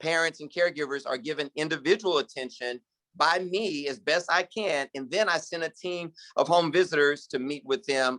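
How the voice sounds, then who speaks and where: A man's fairly high voice, bright and sharp in tone, moves at a moderate pace with ordinary pitch variation in a dry, close recording with no echo. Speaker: pastor. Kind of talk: keynote speech.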